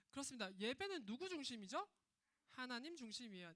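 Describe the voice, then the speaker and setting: Her pitch high and swinging very widely, a woman speaks with a bright, sharp tone. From Gyeongsang region, South Korea. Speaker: children's ministry preacher. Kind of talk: sermon for children. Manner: animated.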